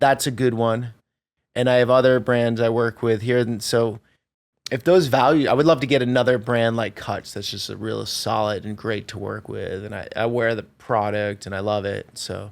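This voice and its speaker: In an ordinary speaking voice with an American accent, a man talks at a moderate pace and medium pitch, with fairly even intonation and big swings in loudness. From Vermont, US. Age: 40s. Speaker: travel video creator. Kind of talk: interview conversation.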